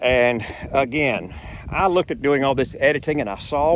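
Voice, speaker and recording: This man's voice carries ordinary pitch variation over noticeable background noise. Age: 60s. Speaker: YouTuber. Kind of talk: casual vlog monologue. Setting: outdoors on a boardwalk.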